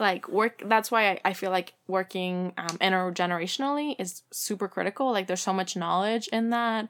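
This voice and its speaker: A woman speaks with a Spanish accent at medium pitch and a moderate pace, with ordinary pitch variation and hardly any pauses. The recording is very clean, with a silent background. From Mexico. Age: 20s. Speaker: community organizer. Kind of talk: casual interview.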